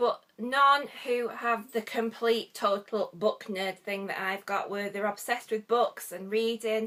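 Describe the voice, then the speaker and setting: A woman with a northwest English accent speaks in a bright, sharp tone at a fairly high pitch. Her pace is fairly slow with hardly any pauses, and her intonation fairly even. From northwest England. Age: 40s. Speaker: book vlogger. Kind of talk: casual vlog chat. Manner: hesitant, frequent ums.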